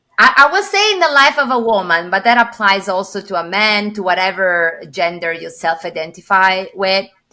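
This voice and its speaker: A woman with an Italian accent talks at a moderate pace and medium pitch, her tone bright and sharp with ordinary pitch variation. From Italy. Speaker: corporate executive and coach. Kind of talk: podcast interview.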